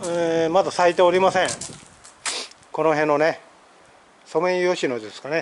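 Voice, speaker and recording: Speaking in a high pitch with fairly even intonation, a man leaves long, frequent pauses over light background noise. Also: moderate pace. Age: 50s. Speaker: YouTuber. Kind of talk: vlog tutorial. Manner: halting with many fillers. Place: garage. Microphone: phone near.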